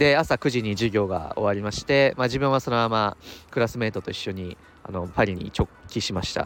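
Moving at a fairly quick pace, a man with an ordinary speaking voice and a fairly low pitch uses ordinary pitch variation. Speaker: MBA student podcaster. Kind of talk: casual solo podcast monologue. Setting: outdoors. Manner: rambling, filler-heavy, chatty.

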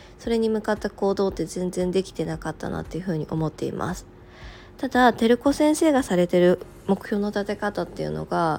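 A woman talks at a moderate pace and medium pitch in a normal speaking voice. Her intonation is lively. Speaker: podcast host, working mother. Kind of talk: casual morning radio monologue.

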